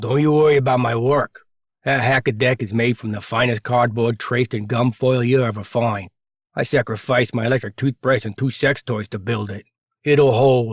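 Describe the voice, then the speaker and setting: This is a gruff, put-on character voice. The pace is moderate. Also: man, medium pitch for a man. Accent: East Coast. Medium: read story. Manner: brusque, gruff.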